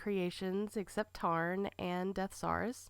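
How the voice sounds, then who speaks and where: A woman speaks very slowly at a medium pitch, with ordinary pitch variation. The recording is very clean, with a silent background. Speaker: toy collector vlogger. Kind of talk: collection tour vlog. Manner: casual, enthusiastic.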